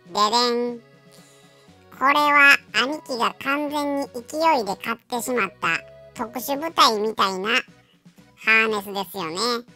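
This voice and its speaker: A female-sounding voice puts on a character at a fairly high pitch for a woman, at a fairly slow pace. Faint music plays in the background. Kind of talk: pet voice-over comedy. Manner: casual, chatty.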